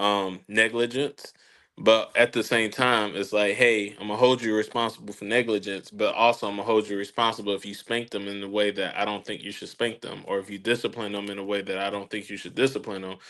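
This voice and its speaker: Bright, sharp tone at a fairly quick pace, monotone and flat in intonation, with big swings in loudness and hardly any pauses. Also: man, fairly low pitch for a man. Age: 30s. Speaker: podcast host. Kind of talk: casual chat.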